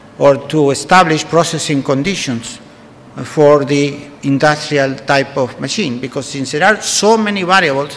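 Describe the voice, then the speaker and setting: With a Spanish accent, a man talks at a moderate pace and fairly high pitch with ordinary pitch variation, amid audible room echo and noticeable background noise. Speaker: food science professor. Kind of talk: conference lecture. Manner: halting, many fillers.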